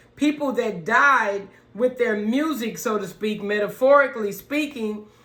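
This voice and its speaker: Noticeable background noise sits behind speech that goes at a fairly slow speed. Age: 50s. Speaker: channel owner learning piano. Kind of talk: casual tutorial vlog. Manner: halting, many fillers.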